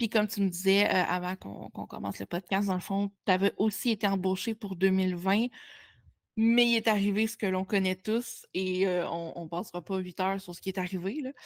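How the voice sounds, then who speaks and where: With an ordinary speaking voice, a woman talks at a moderate pace in a medium pitch, recorded with a dry, close sound and no echo. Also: fairly even intonation. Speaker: podcast host. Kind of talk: casual interview.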